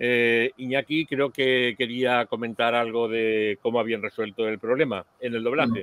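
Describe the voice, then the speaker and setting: In a normal speaking voice, a man at a medium pitch talks with fairly even intonation, the sound dry with no echo and the background quiet. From Spain. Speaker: podcast host. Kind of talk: casual chat. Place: home room. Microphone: headset.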